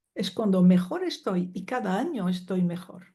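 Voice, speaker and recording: Against a quiet background, a woman speaks in a dark, mellow, somewhat breathy tone with ordinary pitch variation. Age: 70s. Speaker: psychologist and family constellations teacher. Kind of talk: interview.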